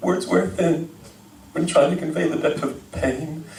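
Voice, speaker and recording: Noticeable background noise behind a high-pitched male voice. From Texas. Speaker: slam poet. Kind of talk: performance poetry. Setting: live venue.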